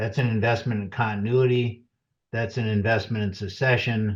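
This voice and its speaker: At a moderate pace, a man talks in a fairly low, somewhat breathy voice with fairly even intonation. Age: 60s. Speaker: financial advisor. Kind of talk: webinar presentation. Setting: webinar.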